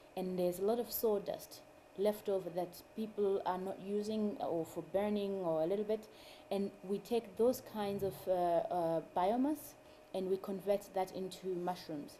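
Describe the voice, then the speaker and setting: A woman's medium-pitched voice with a dark, mellow tone, a Zimbabwean accent, ordinary pitch variation, and a moderate pace. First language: Shona. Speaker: mushroom farmer and food activist. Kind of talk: interview.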